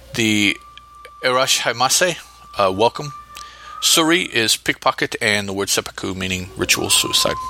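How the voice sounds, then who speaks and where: Moderate-paced speech with long, frequent pauses, noticeable background noise, and a dry, close sound with no echo. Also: man. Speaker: podcast host. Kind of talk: solo podcast episode review and story notes. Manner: halting, hesitant with fillers.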